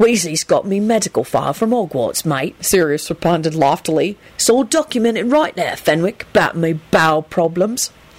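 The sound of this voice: The reading voice here is unforced.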